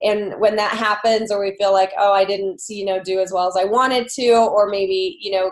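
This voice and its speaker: A woman talks at a fairly quick pace in a medium pitch, her pitch varying in an ordinary way. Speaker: online fitness challenge group coach. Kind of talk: motivational group call talk. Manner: loud; many filler words, casual.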